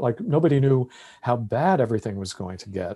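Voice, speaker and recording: A man at medium pitch with a dark, mellow tone, at a moderate pace over a quiet background. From US Northeast (Long Island, New York). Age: 60s. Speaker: opera singer and performer. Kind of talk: casual interview chat.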